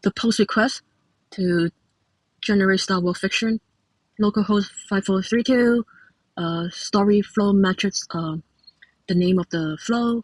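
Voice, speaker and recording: A woman speaks slowly-ish, somewhat breathy, with a Cantonese accent and fairly even intonation. The sound is dry and close with no echo, broken by long, frequent pauses. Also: medium pitch for a woman. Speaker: software developer. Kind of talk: tutorial. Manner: halting, many fillers.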